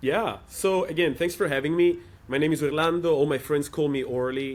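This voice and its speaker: A man with a European accent speaks at a fairly quick pace. His pitch variation is ordinary. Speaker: startup operator in developer tooling. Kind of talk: interview.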